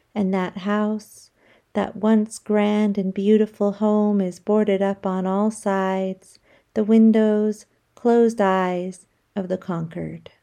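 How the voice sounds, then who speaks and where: Over a very clean, silent background, a woman with an American accent speaks at a very slow pace in a medium-pitched voice with monotone, flat intonation. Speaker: poet. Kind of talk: reading aloud.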